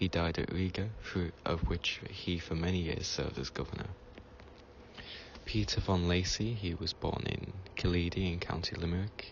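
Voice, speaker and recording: A soft-spoken man with a very deep, low pitch, a calm tone, ordinary pitch variation and a moderate pace. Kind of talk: reading from reference text. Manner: calm, relaxing.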